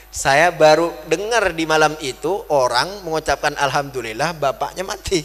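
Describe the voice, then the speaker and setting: A man's fairly high voice, with hardly any pauses, over music in the background. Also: ordinary pitch variation, moderate pace. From West Kalimantan, Indonesia (Madurese family). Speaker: Islamic preacher. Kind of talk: sermon.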